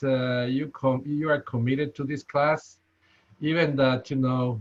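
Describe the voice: With a strong Spanish accent, a man talks at a slow pace. His pitch is medium.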